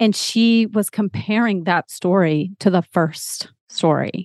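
Against a quiet background, a woman with an American accent speaks in a normal speaking voice at a medium pitch, with ordinary pitch variation and a dry, close sound with no echo. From Texas. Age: 40s. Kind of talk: podcast interview.

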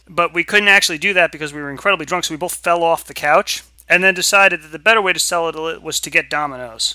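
Very fast and high-pitched, a man talks with a bright, sharp tone in a dry, close sound with no echo. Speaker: streamer. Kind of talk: casual chat.

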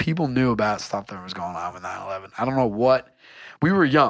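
On a very clean recording with a silent background, the voice moves at a moderate pace through very wide pitch swings. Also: man. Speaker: podcast co-host. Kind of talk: casual chat.

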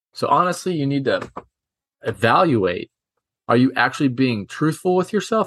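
With lively intonation and a fairly quick pace, a man talks against a quiet background. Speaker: baseball podcast host and coach. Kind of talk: solo rant-style monologue, casual and pointed. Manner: fired-up, blunt, emphatic, scolding; direct, preachy, talks straight to listeners.

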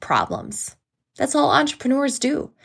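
A woman with a plain, everyday voice speaks using lively intonation. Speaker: podcast host.

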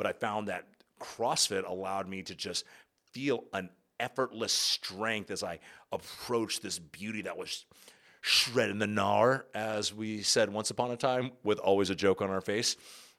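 A man speaks at a moderate pace with fairly even intonation. He has an unremarkable speaking voice, fairly low in pitch. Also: very clean recording, silent background. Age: 30s. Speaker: podcast host and yoga teacher. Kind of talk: solo podcast monologue. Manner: casual, filler-heavy.

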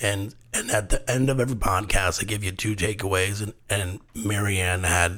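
The voice belongs to a man and sits fairly low in pitch. It is somewhat breathy. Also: very clean recording, silent background. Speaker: podcast host. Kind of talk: casual interview chat. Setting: home studio. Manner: animated, laughs often.

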